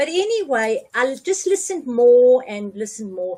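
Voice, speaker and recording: A woman speaks with very wide pitch swings. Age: 80s+. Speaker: cancer patient on carnivore diet. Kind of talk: interview answer.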